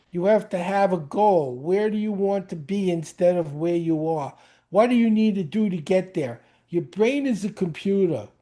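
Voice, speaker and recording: Against a quiet background, a dark, mellow voice with a New York accent shows ordinary pitch variation. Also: man, high pitch for a man, moderate pace. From New York (Brooklyn). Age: 70s. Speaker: speed reading teacher. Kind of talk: interview. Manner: animated.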